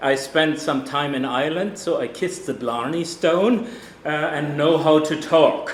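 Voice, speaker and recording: Speaking at a fairly slow pace, a man with a German accent has a fairly high pitch and ordinary pitch variation. Noticeable background noise and audible room echo surround him. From Germany. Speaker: geologist. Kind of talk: lecture. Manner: loud.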